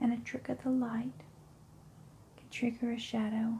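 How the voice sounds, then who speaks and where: Talking at a fairly slow pace, the speaker is soft-spoken. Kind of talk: ASMR scary story narration, first person.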